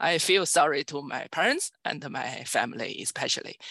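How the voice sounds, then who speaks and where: A woman with a Chinese accent speaks at a moderate pace against a quiet background, the sound dry and close with no echo. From China. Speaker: computer science professor. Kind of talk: interview. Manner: halting.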